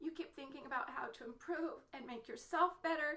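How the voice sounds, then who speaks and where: Squeaky and bright, sharp in tone, a woman talks in a raised, projected voice at a fairly quick pace. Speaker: mother and entrepreneur vlogger. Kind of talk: motivational Facebook live talk. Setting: home office, live stream.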